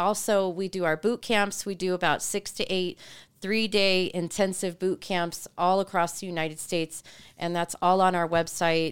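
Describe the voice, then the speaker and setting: At a moderate pace, a woman with a medium pitch talks in an unremarkable speaking voice. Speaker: marriage ministry speaker. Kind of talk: casual interview conversation.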